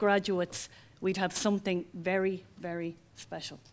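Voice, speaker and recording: A woman speaks at a moderate pace in an Irish accent. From Ireland. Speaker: college founder. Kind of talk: ceremony speech. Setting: auditorium with audience.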